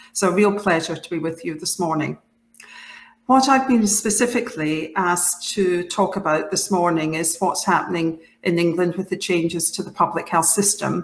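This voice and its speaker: A woman speaks in a Scottish accent at a moderate pace. Her pitch is fairly low, with ordinary variation. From Scotland, Clydebank. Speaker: public health leader, professional body president. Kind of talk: conference talk. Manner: halting, with many fillers and restarts.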